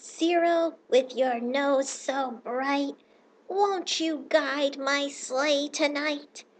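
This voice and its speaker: A woman puts on a character voice, pitched high and delivered at a very slow pace. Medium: read story. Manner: theatrical, grandiose.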